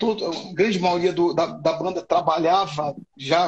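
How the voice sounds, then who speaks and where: A man speaks with a high pitch. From Rio de Janeiro, Brazil. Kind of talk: interview. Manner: halting, repeats words.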